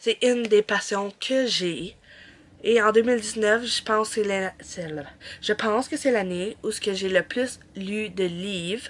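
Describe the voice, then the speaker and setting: A woman's medium-pitched voice in a Quebec accent, very slow, with ordinary pitch variation. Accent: Québécois French. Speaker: book vlogger. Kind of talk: casual vlog.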